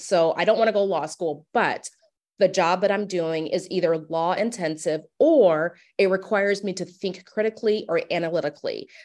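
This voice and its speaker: A woman with an American accent and an unremarkable speaking voice talks at a moderate pace in a medium pitch, her pitch varying in an ordinary way. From US Midwest, Omaha, Nebraska. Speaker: professor. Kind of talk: interview.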